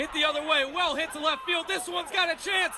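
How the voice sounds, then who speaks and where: A man's raised, projected voice at an extremely high pitch, ordinary pitch variation, music in the background. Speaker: sports broadcaster (play-by-play announcer and interviewer). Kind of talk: baseball play-by-play commentary.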